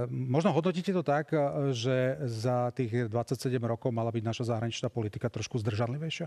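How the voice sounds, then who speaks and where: With very even loudness and ordinary pitch variation, a man talks at a moderate pace over a quiet background. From Slovakia. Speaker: radio and TV debate moderator; radio, TV debate moderator. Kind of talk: moderated debate. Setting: studio. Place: studio. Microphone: lapel.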